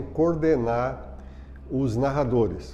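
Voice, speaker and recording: Fairly even intonation comes at a very slow pace, with audible room echo. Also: man. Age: 60s. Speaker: retired sports broadcast producer and journalist. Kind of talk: documentary interview testimony.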